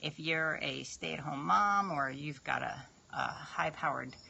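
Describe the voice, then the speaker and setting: An unremarkable speaking voice from a woman with an American accent, at a fairly slow pace with ordinary pitch variation. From New York. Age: 50s. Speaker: fitness trainer. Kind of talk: live stream chat. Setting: live video stream.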